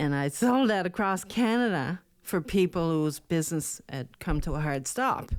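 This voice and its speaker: Recorded very cleanly against a silent background, a woman speaks in a Newfoundland accent. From rural Newfoundland. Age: 60s. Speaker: speaker, coach and adult educator. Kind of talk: podcast interview. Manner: animated.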